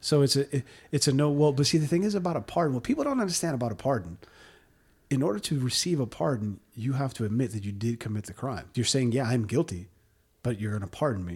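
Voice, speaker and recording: On a very clean recording with a silent background, a man talks at a very fast pace, somewhat breathy, with lively intonation. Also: medium pitch for a man. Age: 40s. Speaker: podcast host. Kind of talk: casual chat. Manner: animated.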